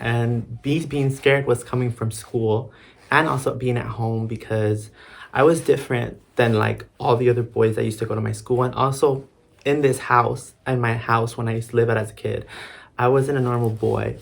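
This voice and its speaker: A man speaks in a monotone with flat intonation and a somewhat breathy quality. His pitch is medium, his pace moderate. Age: 20s. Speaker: theater student. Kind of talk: casual talk to camera.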